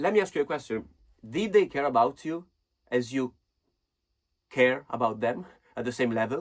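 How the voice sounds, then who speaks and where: A man with a non-native accent talks at a moderate pace, his medium pitch showing ordinary variation. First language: not English. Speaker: self-help vlogger. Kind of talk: casual advice monologue. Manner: halting.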